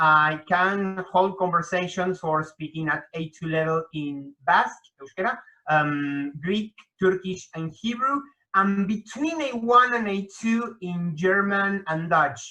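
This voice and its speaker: Speaking very slowly with a Spanish accent, a man uses a bright, sharp tone, a high pitch and lively intonation. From Argentina, Buenos Aires. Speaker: hyperpolyglot, association director. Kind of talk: interview.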